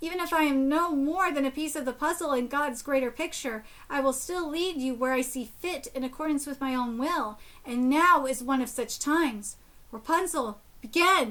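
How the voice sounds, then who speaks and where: A woman adopts a put-on character voice, pitched high and delivered at a moderate pace. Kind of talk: fantasy storytelling. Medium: game stream. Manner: formal, solemn.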